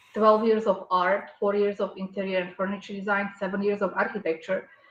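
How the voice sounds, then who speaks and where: Over noticeable background noise, a woman speaks with a non-native accent in a monotone, flat intonation. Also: medium pitch for a woman. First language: not English. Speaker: artist and architect. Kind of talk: casual chat.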